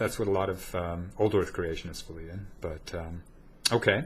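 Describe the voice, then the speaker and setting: A man speaks at a moderate pace with an American accent. His pitch varies in an ordinary way. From United States. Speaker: atheist debater, channel host. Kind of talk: debate conversation. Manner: halting, many fillers.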